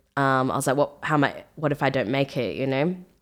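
A woman with an Australian accent speaks in a very deep, low pitch and a flat monotone, on a very clean recording with a silent background. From Australia, Melbourne. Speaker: music producer and singer. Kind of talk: casual interview.

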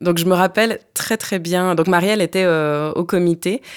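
A woman with a normal speaking voice talks at a fairly slow pace in a fairly low pitch, on a very clean recording with a silent background. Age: 30s. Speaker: lawyer and human rights activist. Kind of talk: casual chat. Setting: studio.

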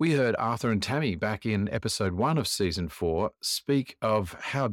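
Speaking with an Australian accent, a man uses lively intonation at a moderate pace and a fairly low pitch. The recording is very clean, with a silent background and a dry, close sound with no echo. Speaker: podcast host. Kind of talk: interview.

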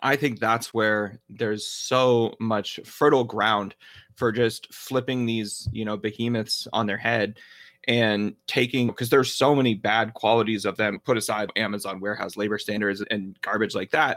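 A man with an American accent talks in a normal speaking voice at a medium pitch and a moderate pace, his intonation fairly even. The recording is very clean, with a silent background. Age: 30s. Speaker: podcast host, attorney and marketer. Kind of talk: casual interview chat.

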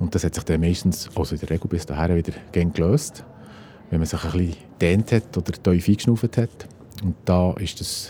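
There is noticeable background noise. A man with a very deep, low pitch talks at a moderate pace. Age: 50s. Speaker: geomatics technician, heart attack survivor. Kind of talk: personal testimony. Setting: outdoors.

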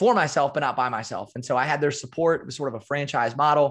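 With an American accent and ordinary pitch variation, a man talks at a very fast pace in a medium pitch, recorded very cleanly against a silent background. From US Midwest (small-town Iowa). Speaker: performance coach and keynote speaker. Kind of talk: casual interview.

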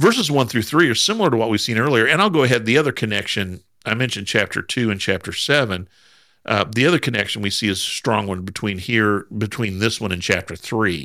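On a very clean recording with a silent background, a man of medium pitch with an American accent talks at a very fast pace in a bright, sharp tone with ordinary pitch variation. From US Midwest, Southern Indiana. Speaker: Bible podcast co-host. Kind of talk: casual Bible study discussion.

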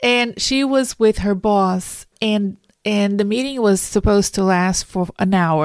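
In a very clean recording with a silent background, a woman with a Brazilian accent talks at a medium pitch with fairly even intonation. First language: Portuguese. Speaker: career coach and podcast host. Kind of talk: solo podcast monologue.

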